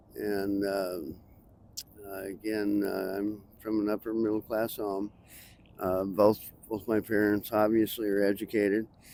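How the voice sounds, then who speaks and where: With an American accent, a man speaks at a fairly slow pace and a fairly low pitch. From Montana. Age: 60s. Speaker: homeless man interviewed on the street. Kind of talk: street interview. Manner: halting, many fillers.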